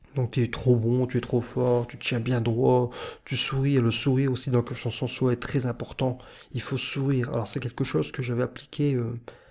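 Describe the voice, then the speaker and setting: A man with a northern French accent speaks at a moderate pace with a medium pitch, a dark, mellow tone, a somewhat breathy quality and monotone, flat intonation. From northern France. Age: 30s. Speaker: YouTuber / self-confidence vlogger. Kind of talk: vlog monologue. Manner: hesitant, many filler sounds; weak articulation.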